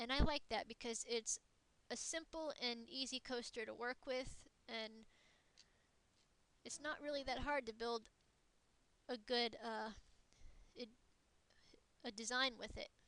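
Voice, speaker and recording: A woman speaks at a fairly slow pace with a high pitch and fairly even intonation. Her pauses are long and frequent. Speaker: gaming tutorial creator. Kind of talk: tutorial. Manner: halting.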